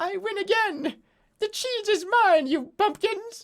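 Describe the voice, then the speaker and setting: A squeaky put-on character voice at an extremely high pitch and a fairly slow pace. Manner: boastful, gloating.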